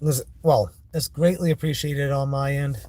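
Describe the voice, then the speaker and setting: With an American accent, a man speaks at medium pitch and a moderate pace. His tone is dark and mellow, and somewhat breathy. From Maine, US. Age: 40s. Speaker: vlogger. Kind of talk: casual vlog monologue. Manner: halting, with restarts.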